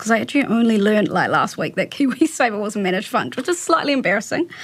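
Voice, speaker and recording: In a New Zealand accent, a woman talks at a very fast pace. Her pitch sits fairly high, and her intonation is lively. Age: 20s. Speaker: communications staffer hosting interviews. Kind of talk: interview.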